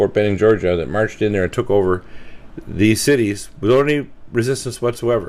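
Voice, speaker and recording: Man at a fairly low pitch and very fast pace, with noticeable background noise. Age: 60s. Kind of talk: radio interview monologue. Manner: fast, run-on; halting with self-corrections.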